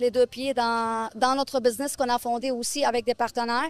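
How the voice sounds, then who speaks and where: Music in the background behind a woman's high-pitched voice with fairly even intonation. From Lebanon. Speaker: real estate investor. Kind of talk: interview. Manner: halting.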